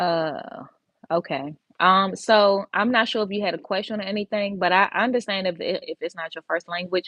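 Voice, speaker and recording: A woman's unremarkable speaking voice with an American accent, medium pitch, ordinary pitch variation, and a moderate pace. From Washington DC. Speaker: medical assisting instructor. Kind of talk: live stream Q&A. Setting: livestream from office. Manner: casual, many fillers.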